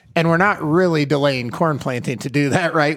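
Someone with a Midwestern US accent is heard on a very clean recording with a silent background. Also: man. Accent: US Midwest. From Iowa. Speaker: podcast co-host, agronomist. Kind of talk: interview.

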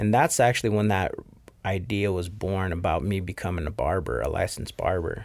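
A man with a fairly low pitch and a plain, everyday voice talks at a fairly quick pace with ordinary pitch variation on a very clean recording with a silent background. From Rexburg, Idaho (Mexican immigrant parents). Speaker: barber, business owner. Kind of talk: interview.

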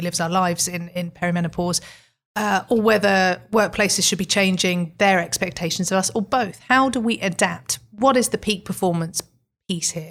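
On a very clean recording with a silent background, a woman speaks at a fairly quick pace in an ordinary speaking voice, with medium pitch and ordinary pitch variation. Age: 50s. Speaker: podcast host and magazine editor. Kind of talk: interview. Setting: studio.

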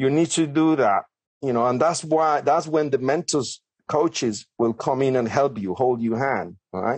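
Speaking fairly slowly in a Colombian accent, a man talks at a medium pitch. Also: ordinary pitch variation, very even loudness. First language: Spanish. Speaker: property developer and author. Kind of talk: podcast interview.

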